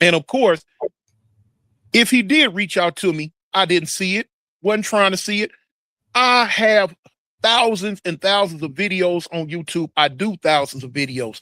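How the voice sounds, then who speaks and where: With a raised, projected voice and lively intonation, a high-pitched man speaks with long, frequent pauses in a dry, close recording with no echo. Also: fairly slow pace. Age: 60s. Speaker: YouTuber and former prisoner. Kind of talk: casual interview.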